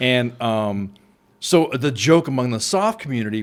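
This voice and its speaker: A man at a moderate pace with ordinary pitch variation, on a very clean recording with a silent background. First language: not English. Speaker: retired army sergeant major. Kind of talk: casual chat. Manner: halting.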